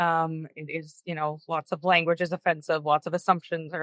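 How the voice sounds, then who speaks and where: A woman with a Canadian accent speaks loudly at a fairly quick pace, her fairly low voice bright and sharp in tone, with fairly even intonation. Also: dry, close sound with no echo, quiet background. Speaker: panel guest with lived experience of housing. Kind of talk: panel discussion. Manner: halting, many fillers.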